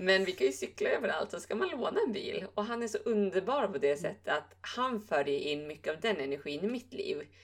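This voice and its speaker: Speaking at a moderate pace with hardly any pauses, a woman is heard over noticeable background noise. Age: 20s. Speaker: yoga teacher and podcast co-host. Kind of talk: casual chat.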